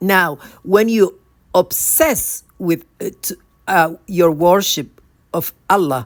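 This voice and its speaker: A woman's fairly low voice at a very slow pace, with big swings in loudness and ordinary pitch variation, on a very clean recording with a silent background. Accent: non-native. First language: not English. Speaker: spiritual speaker. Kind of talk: religious talk to camera. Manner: halting, self-correcting.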